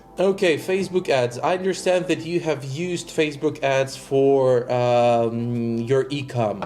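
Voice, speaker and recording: Over noticeable background noise, a man with a fairly high pitch talks at a fairly slow pace with hardly any pauses and ordinary pitch variation. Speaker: digital marketing agency owner. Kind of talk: coaching session.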